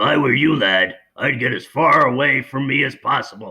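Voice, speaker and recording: A man does a raspy, cartoonish character voice at medium pitch. His pace is moderate. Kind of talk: cartoon impression. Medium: read story.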